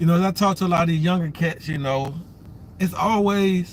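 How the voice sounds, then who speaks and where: A man's high-pitched voice at a fairly quick pace, intonation fairly even. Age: 50s. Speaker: vlogger. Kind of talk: casual livestream monologue. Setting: waiting at son's appointment.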